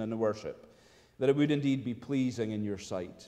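The intonation stays fairly even and the pace is fairly quick. The background is quiet. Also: man. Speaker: minister leading prayer. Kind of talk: public prayer. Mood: reverent, earnest. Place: church.

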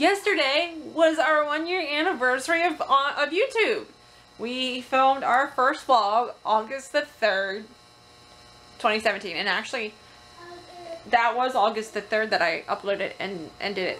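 Pitched high, a woman talks at a fairly slow pace with very wide pitch swings. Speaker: family vlogger. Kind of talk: casual vlog chat. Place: home room. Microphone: phone near.

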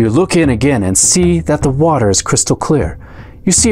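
What's heard is plain reading aloud.

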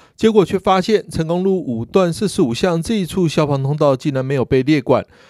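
A man's fairly high voice in a Taiwanese accent, moderate in pace with lively intonation, dry and close with no echo, in a very clean recording with a silent background. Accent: Taiwanese Mandarin. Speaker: news reporter. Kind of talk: news reading.

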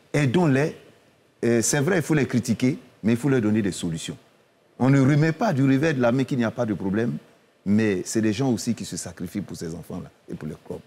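Medium-pitched man's voice with a dark, mellow tone, very wide pitch swings, a fairly quick pace and long, frequent pauses. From Côte d'Ivoire. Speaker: football club president; guest. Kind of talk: TV panel debate. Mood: earnest, persuasive. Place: studio. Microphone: lapel.

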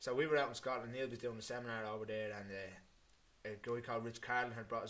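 In an Irish accent, a man speaks at a very fast pace with a bright, sharp tone and fairly even intonation. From Ireland. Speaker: MMA fighter; podcast guest. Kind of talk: casual chat. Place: home room. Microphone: studio mic.

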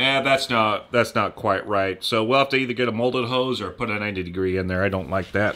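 With an unremarkable speaking voice, a man talks at a fairly quick pace with hardly any pauses, his pitch fairly low and his pitch variation ordinary. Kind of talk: tutorial. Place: workshop. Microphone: camera far.

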